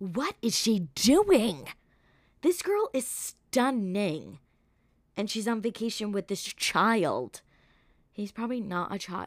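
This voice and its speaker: A woman's animated, lively voice at medium pitch with an American accent, big swings in loudness, and a very clean recording with a silent background. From New York. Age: 20s. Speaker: podcast host. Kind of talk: casual monologue.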